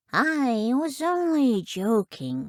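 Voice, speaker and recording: This is a put-on character voice that sounds female. Its pitch swings very widely. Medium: read story.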